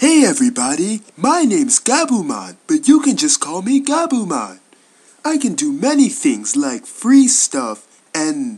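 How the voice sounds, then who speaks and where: A put-on character voice with high pitch. It moves at a moderate pace. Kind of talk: voice audition read. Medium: dub. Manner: hesitant, friendly.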